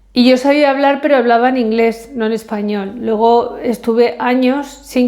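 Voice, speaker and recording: The voice has a dark, mellow tone, moving at a fairly slow pace with fairly even intonation. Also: woman. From Spain. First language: English (speaking Spanish). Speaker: vlogger. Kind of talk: casual vlog monologue. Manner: hesitant, many fillers.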